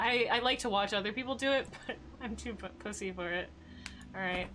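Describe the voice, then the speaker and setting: A woman speaks at a medium pitch and a fairly quick pace. Her pitch varies in an ordinary way. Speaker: gaming streamer. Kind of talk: let's play commentary. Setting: live stream. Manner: quiet.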